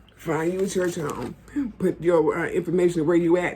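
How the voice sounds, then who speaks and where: A woman talks at a fairly quick pace in a fairly low pitch. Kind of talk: casual advice talk. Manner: fast.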